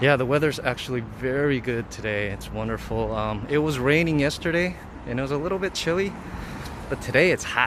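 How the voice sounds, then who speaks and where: Over noticeable background noise, a man with an American accent talks at a fairly quick pace, his medium pitch showing ordinary variation. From US, Los Angeles. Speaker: vlogger. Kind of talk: live stream city walk. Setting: outdoors. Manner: casual, hesitant with fillers.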